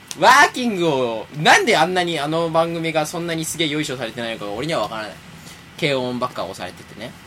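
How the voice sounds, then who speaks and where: Talking very fast at a fairly high pitch, a man speaks with lively intonation and big swings in loudness, amid audible room echo and noticeable background noise. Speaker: internet radio show host. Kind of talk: casual chat.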